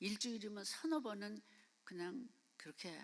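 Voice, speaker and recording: A woman's medium-pitched voice, lively in intonation, at a fairly slow pace. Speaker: missionary. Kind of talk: sermon. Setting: church. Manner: halting.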